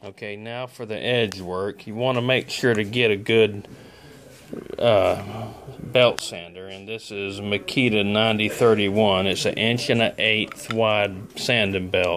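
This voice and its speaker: Speaking at a fairly slow pace with a South Alabama accent, a man uses a fairly low pitch and fairly even intonation against noticeable background noise. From Southern US. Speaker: glass worker. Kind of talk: casual instructional talk to camera. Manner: speech impediment.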